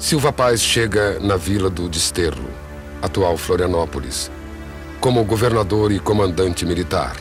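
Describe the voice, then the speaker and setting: A man speaks at a fairly slow pace in a very deep, low voice. Music plays in the background. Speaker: narrator. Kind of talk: poetic documentary narration.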